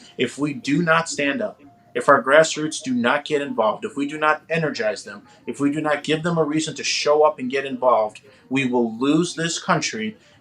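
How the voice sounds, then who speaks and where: A man's fairly high voice in an American accent, fairly quick and with ordinary pitch variation, over noticeable background noise. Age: 30s. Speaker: political candidate. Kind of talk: talk show interview. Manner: animated.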